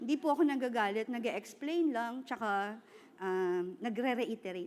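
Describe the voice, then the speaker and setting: A woman speaks at a moderate pace with a fairly high pitch. Her intonation is lively. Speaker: preacher. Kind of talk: sermon. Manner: loud; animated.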